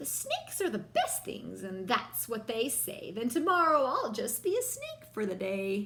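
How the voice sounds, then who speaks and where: A woman's put-on character voice, high-pitched, at a moderate pace. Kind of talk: bedtime story. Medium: read story. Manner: bright, playful.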